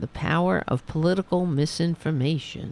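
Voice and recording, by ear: Speaking at a moderate pace, a woman uses a low pitch with ordinary pitch variation and vocal fry. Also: slightly mellow tone.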